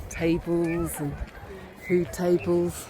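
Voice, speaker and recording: Over noticeable background noise, a woman speaks with an English accent at a fairly low pitch. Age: 50s. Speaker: lifestyle vlogger. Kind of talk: vlog narration. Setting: outdoors.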